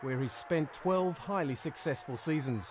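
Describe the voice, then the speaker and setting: An ordinary speaking voice comes from a man with lively intonation at a moderate pace. The recording is very clean, with a silent background. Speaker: documentary narrator. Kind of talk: documentary narration, scripted and solemn. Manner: measured, formal, steady.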